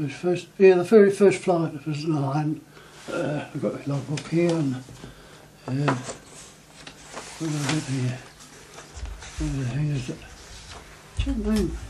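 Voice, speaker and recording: The speaker goes at a fairly slow pace with long, frequent pauses against noticeable background noise. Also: man, fairly high pitch for a man, ordinary pitch variation. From New Zealand. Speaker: war veteran. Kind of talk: interview answer. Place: home room.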